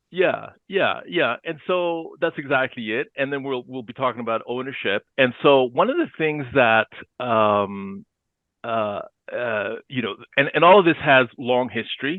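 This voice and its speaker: A man with a Spanish accent talks at a fairly slow pace. His medium-pitched voice has lively intonation. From Chile. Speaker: economist. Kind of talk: interview.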